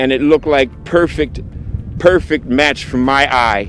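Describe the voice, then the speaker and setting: Over noticeable background noise, a man with a fairly high pitch speaks fairly slowly with ordinary pitch variation. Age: 60s. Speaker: photographer. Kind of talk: video interview. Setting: outdoors.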